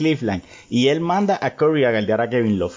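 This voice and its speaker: This is an ordinary speaking voice at a moderate pace. The pitch varies in an ordinary way. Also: man. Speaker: sports podcast host. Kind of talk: casual interview chat.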